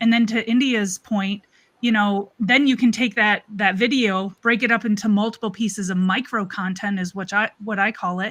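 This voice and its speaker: A woman's fairly high, ordinary speaking voice, at a moderate pace with fairly even intonation. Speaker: marketing strategist. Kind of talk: casual panel discussion. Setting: live stream video call.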